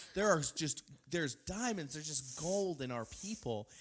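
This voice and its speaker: Lively intonation marks a man's plain, everyday voice at a moderate pace on a very clean recording with a silent background. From Texas. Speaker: podcast host. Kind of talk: casual chat.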